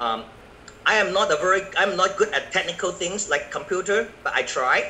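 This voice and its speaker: A man with a high pitch speaks in a raised, projected voice. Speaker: network marketing business presenter. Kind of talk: business presentation. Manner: slow; halting.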